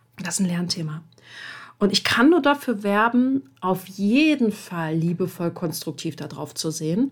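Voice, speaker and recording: Very wide pitch swings mark this somewhat breathy voice, which moves at a fairly slow pace. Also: woman, medium pitch for a woman. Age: 30s. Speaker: podcast host and coach. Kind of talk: solo podcast monologue. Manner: casual with frequent fillers.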